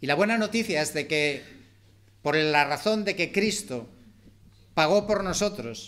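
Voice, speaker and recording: A man's high-pitched voice at a fairly slow pace, with long, frequent pauses. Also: lively intonation. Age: 60s. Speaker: preacher. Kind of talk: sermon.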